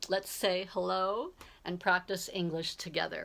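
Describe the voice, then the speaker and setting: This woman has an American accent and a medium-pitched voice. She speaks at a fairly slow pace. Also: very clean recording, silent background. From Southern California, US. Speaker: English tutor. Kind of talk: self-introduction video. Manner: clear, friendly.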